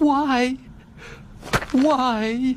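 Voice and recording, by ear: Using a put-on character voice, a man speaks at a very slow pace in an extremely high pitch with fairly even intonation.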